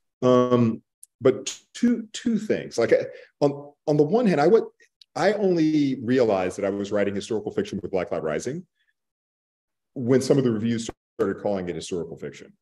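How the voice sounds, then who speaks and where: A man with an American accent, a dark, mellow tone and very wide pitch swings, at a moderate pace with long, frequent pauses, against a quiet background. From Texas (Borger); Texas. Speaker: author; panelist. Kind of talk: panel discussion. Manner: halting. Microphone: video call.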